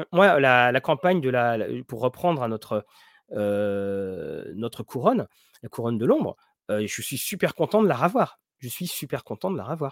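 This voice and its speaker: Very wide pitch swings mark this man's voice, recorded dry and close with no echo. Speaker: tabletop role-playing game streamer. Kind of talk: live stream chat. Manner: quiet, slow.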